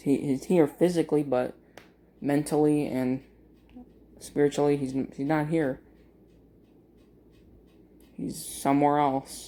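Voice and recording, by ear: A man speaks slowly at a fairly high pitch, with little pitch movement. His tone is dark and mellow, broken by long, frequent pauses.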